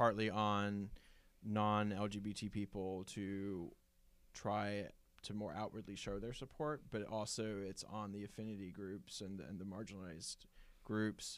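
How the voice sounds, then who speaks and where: A man talks in a plain, everyday voice, fairly low in pitch, with fairly even intonation. His pace is fairly slow in a very clean recording with a silent background. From Virginia, US South. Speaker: lawyer, podcast guest. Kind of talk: casual chat.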